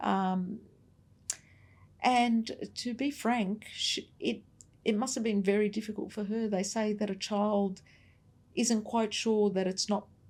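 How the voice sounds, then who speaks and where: With an Australian accent, a woman speaks fairly slowly in a fairly high, somewhat breathy voice with monotone, flat intonation and long, frequent pauses. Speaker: navy veteran. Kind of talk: interview.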